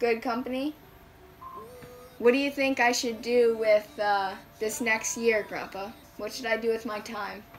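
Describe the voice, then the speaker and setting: A woman's fairly high voice with fairly even intonation, fairly slow and broken by long, frequent pauses, over light background noise. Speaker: tiny house and minimalism vlogger. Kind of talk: interviewing family member. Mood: warm, cheerful. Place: home room.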